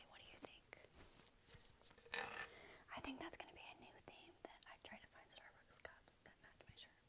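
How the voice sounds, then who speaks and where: A woman whispers at a moderate pace. Her tone is calm. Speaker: ASMR creator. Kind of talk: ASMR triggers video, casual talk to camera. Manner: soft-spoken, calm. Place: home room. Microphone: earbuds.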